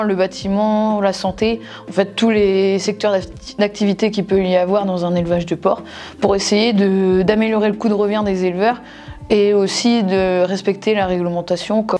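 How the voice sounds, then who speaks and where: With light background noise, a woman speaks at a fairly slow pace in a monotone, flat intonation. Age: 20s. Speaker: former agricultural student, livestock R&D employee. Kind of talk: testimony. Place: office. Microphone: lapel.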